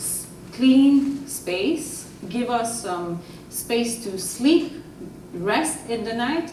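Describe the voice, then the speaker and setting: Over noticeable background noise and audible room echo, a woman with a fairly high pitch speaks at a very slow pace with lively intonation. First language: French. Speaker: audience member, front-line worker. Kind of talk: audience question.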